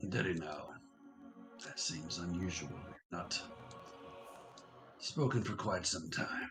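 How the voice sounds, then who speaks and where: Over clear background music, a man uses a raspy put-on character voice with a very deep, low pitch. He speaks fairly slowly, with long, frequent pauses. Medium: actual play. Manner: grave, measured.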